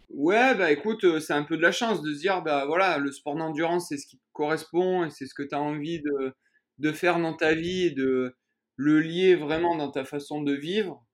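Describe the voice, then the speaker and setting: With a plain, everyday voice, the speaker goes at a moderate pace with ordinary pitch variation and big swings in loudness against a quiet background. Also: man, fairly high pitch for a man. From southern France, Vaucluse near Avignon. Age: 30s. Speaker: trail runner. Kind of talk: interview.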